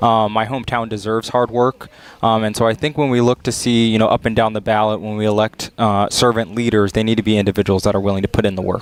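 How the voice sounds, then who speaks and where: An American accent marks this man's monotone, flat delivery. He talks very fast, with hardly any pauses. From US South, Flagler County, Florida. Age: 20s. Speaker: political candidate. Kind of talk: interview.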